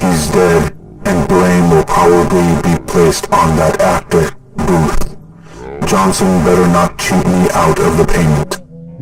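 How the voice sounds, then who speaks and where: A man's put-on character voice, very deep and low, at a fairly slow pace over loud background noise. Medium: read story. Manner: monotone, depressed-sounding.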